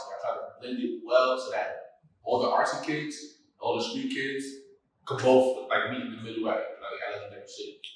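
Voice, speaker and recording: With a New York accent, the speaker keeps a moderate pace while the loudness swings widely. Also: man. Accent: New York City. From Brownsville, Brooklyn, New York City. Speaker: clothing brand founder and rapper. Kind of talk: interview answer. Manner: casual, conversational.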